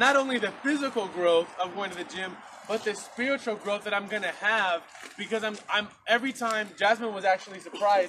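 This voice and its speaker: Over light background noise, a man talks in a raised, projected voice with fairly even intonation. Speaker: preacher. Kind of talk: sermon. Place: garden. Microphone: camera far.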